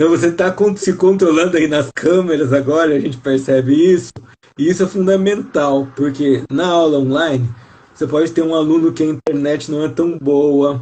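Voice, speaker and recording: The voice is an unremarkable speaking voice with ordinary pitch variation. It moves at a moderate pace. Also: man, fairly high pitch for a man. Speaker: teacher and live host. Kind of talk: live video interview.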